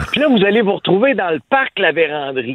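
A man talks at a moderate speed. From Quebec, Abitibi. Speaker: radio columnist. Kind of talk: radio commentary.

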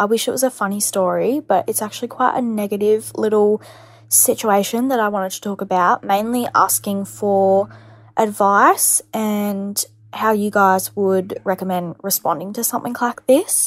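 A normal speaking voice with fairly even intonation moves at a moderate pace on a very clean recording with a silent background. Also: woman, medium pitch for a woman. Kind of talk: voice note story.

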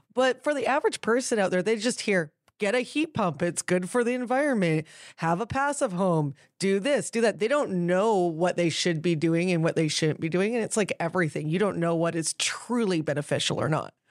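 In a very clean recording with a silent background, a woman with a Canadian accent speaks at a fairly quick pace, her medium pitch moving in very wide swings. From New Westminster, British Columbia, Canada. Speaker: podcast co-host. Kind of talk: casual chat. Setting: studio.

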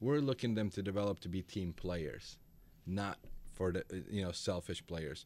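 On a very clean recording with a silent background, a man with a Macedonian accent speaks at a moderate pace in a very deep, low pitch. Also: ordinary pitch variation. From North Macedonia. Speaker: youth soccer coach. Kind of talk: radio interview. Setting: studio.

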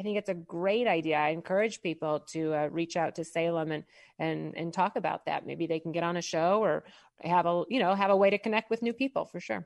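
An ordinary speaking voice moves at a fairly quick pace with ordinary pitch variation, in a dry, close sound with no echo over a quiet background. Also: woman, fairly low pitch for a woman. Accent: American. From Midwest US, St. Louis, Missouri. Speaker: business coach. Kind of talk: radio interview.

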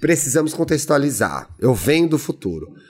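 A man speaks at a fairly high pitch with vocal fry. His tone is animated and his pace moderate. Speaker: podcast co-host. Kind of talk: casual chat.

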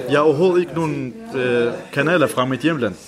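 Noticeable background noise sits behind a man speaking at a moderate pace. His pitch is fairly high, with ordinary pitch variation. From Iran (Kurdish). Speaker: language student, school bus driver. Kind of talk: interview. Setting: language café.

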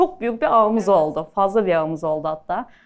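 An unremarkable speaking voice, a woman's, fairly quick, with lively intonation. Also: quiet background. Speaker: pastry chef. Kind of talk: live talk with audience Q&A. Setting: stage with audience.

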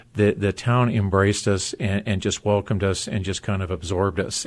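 A man with an ordinary speaking voice, fairly low in pitch, fairly even in intonation and fairly quick, against a quiet background. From US, military family (moved around). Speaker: former pro football player. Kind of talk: interview.

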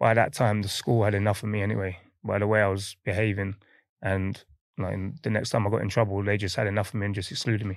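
Against a quiet background, a man with an East London accent speaks in a fairly low, monotone voice with flat intonation. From London, Hackney. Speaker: professional footballer. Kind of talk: casual interview.

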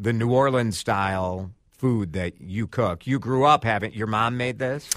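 A man with a medium pitch and a bright, sharp tone talks at a fairly slow pace with lively intonation. The recording is very clean, with a silent background. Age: 40s. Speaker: food critic and podcast host. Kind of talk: casual interview. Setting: studio.

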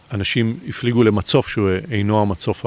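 With a normal speaking voice, a man talks at a fairly slow pace with ordinary pitch variation. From Israel, Bat Yam. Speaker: competitive sailor. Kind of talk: interview. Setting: outdoors.

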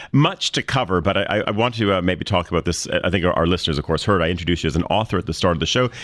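In a very clean recording with a silent background, a man with a very deep, low pitch talks very fast with hardly any pauses, ordinary pitch variation and very even loudness. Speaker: radio host. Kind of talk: casual chat. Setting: studio.

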